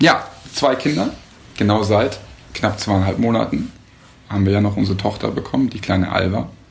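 There are long, frequent pauses as a man talks at a moderate pace and fairly low pitch with ordinary pitch variation, with noticeable background noise and audible room echo. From Hamburg, northern Germany. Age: 30s. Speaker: father and husband. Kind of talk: casual chat.

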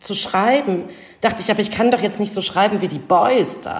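Using an ordinary speaking voice, a woman speaks at a fairly quick pace with a medium pitch and ordinary pitch variation. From eastern Germany, Leipzig. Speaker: author and journalist. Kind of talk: interview.

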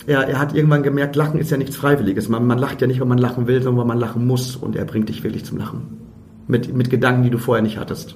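A man with a medium pitch rattles through his words at a very fast pace. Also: fairly even intonation. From Germany, Emsland (Lower Saxony). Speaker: comedian and theatre director. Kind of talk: casual chat. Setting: wine cellar of a pub.

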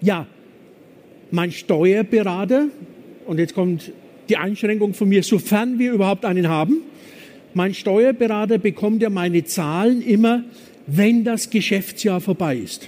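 In a Franconian accent, a man speaks at a high pitch. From Franconia, Germany (Nuremberg). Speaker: business consultant. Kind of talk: conference talk. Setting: stage with audience.

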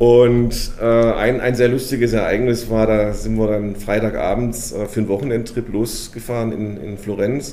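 A man speaks at a moderate pace in a medium pitch with monotone, flat intonation and hardly any pauses, over noticeable background noise. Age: 50s. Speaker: company executive. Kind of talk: interview. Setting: company headquarters.

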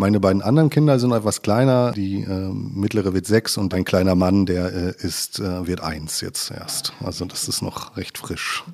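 Speech moves at a moderate pace. The recording is very clean, with a silent background. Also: man. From Ruhr area, Germany (Westphalia/Sauerland border). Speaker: environmental engineer at a utility company. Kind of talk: casual interview. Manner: hesitant, many filler sounds.

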